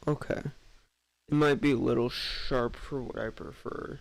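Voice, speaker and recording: Against music in the background, a man with a fairly high voice speaks at a fairly slow pace. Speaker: streamer. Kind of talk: casual chat. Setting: live stream.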